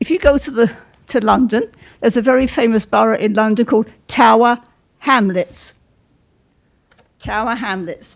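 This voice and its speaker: With a British accent, a woman talks at a moderate pace in a fairly high pitch. Her pitch variation is ordinary, and she leaves long, frequent pauses. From England. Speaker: resident speaking at public meeting. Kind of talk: public comment at meeting. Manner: brisk.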